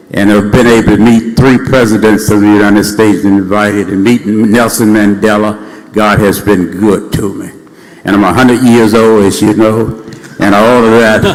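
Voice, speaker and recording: In an American accent, a man speaks at a moderate pace with a fairly low pitch and monotone, flat intonation, with noticeable background noise and audible room echo. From US South, Mississippi Delta. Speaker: state senator. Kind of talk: ceremonial floor speech.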